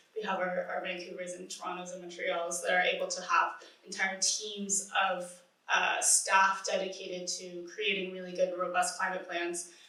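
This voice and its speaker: A woman's monotone, flat delivery, with audible room echo and noticeable background noise. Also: medium pitch for a woman, moderate pace. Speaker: climate nonprofit manager. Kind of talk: conference panel talk. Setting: conference panel with audience. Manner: mumbling; hesitant, many fillers.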